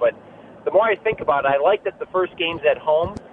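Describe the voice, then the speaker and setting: There is noticeable background noise as a man with a high pitch talks at a very fast pace, using ordinary pitch variation. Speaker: caller. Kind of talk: radio call-in. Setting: phone call.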